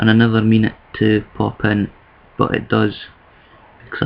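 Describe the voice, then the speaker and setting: Over noticeable background noise, a man with a Scottish accent speaks in a monotone, flat intonation. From Scotland. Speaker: vlogger. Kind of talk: video response monologue. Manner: casual, conversational.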